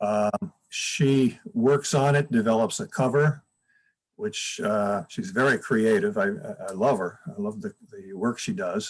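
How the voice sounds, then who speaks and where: A man with an American accent, fairly high pitch and very wide pitch swings, at a fairly slow pace. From upstate New York. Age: 70s. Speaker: retired school counselor and author. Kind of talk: interview. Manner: halting, many fillers and restarts.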